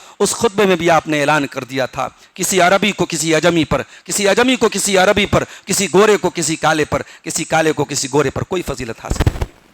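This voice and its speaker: A man talks at a high pitch with ordinary pitch variation. The sound is dry and close with no echo, though background noise is noticeable. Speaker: Islamic scholar giving Quran commentary. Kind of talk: Quran tafseer sermon.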